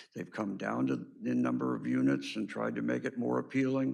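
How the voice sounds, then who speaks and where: Vocal fry marks a man's voice, with audible room echo around it. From Southern California. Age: 70s. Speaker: public commenter. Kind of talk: public comment at meeting. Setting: city hall podium. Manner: halting.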